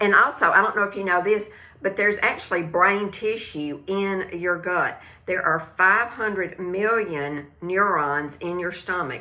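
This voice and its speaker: A woman with a Southern US accent talks at a fairly slow pace, her medium pitch showing ordinary pitch variation and a bright, sharp tone. Audible room echo surrounds her voice. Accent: country Southern US accent, self-noted. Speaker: live stream host, wellness product seller. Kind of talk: casual live stream chat about gut health. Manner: hesitant, many fillers and restarts; animated, talks with hands.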